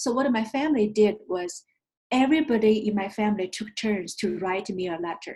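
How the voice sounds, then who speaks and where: A somewhat breathy woman with a Chinese accent, fairly high pitch and ordinary pitch variation. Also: fairly quick pace. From China. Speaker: investment firm founder. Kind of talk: interview.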